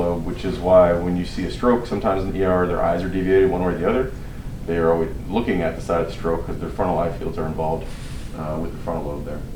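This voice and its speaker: Mumbling very fast in a very deep, low voice with ordinary pitch variation, a man is heard with audible room echo and noticeable background noise. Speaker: physician lecturer. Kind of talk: lecture. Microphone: muffled by face mask.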